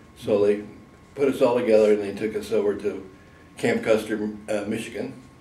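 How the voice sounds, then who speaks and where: Fairly low-pitched and somewhat breathy, a man with an American accent speaks at a fairly quick pace in a dark, mellow tone, his intonation monotone and flat, with audible room echo. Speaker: war veteran. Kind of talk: oral history interview.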